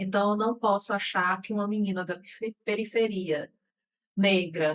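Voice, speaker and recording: Speaking at a moderate pace, a woman has an unremarkable speaking voice at medium pitch with fairly even intonation. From Brazil, Ceará sertão (Quixadá). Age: 40s. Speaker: podcast host. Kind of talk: interview podcast conversation.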